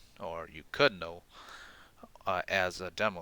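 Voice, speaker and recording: In a dry, close sound with no echo and a very clean recording over a silent background, a man speaks at a fairly slow pace with a very deep, low pitch and a bright, sharp tone. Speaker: gaming tutorial youtuber. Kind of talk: tutorial. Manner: halting, many fillers; casual.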